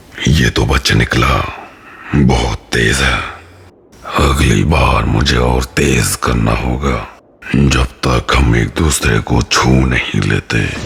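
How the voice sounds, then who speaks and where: In a raspy put-on character voice, a man speaks with very deep, low pitch at a very slow pace. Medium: fan dub. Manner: cold, mocking.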